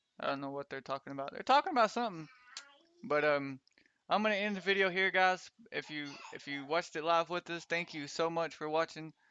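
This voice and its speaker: A man with a high pitch talks at a very fast pace with ordinary pitch variation. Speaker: gaming streamer. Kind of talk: live gameplay stream commentary. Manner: stutters sometimes; casual, hesitant with fillers.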